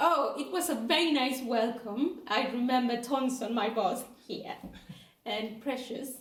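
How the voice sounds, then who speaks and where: Speaking at a fairly slow pace with a Spanish accent, a woman with a fairly high pitch and ordinary pitch variation is heard with audible room echo. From Mexico, Guadalajara. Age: 30s. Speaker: charity volunteer intern. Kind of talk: interview. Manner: hesitant.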